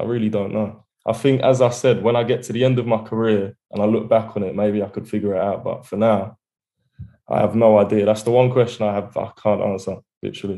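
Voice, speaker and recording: Speaking very fast in an Essex accent, a man delivers monotone, flat intonation in a dark, mellow tone. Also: quiet background. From England, Essex; England. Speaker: rapper; guest. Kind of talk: interview. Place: home room. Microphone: video call.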